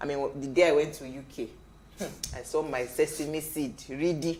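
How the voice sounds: A woman with a low pitch and slightly mellow tone, at a moderate pace with fairly even intonation, amid audible room echo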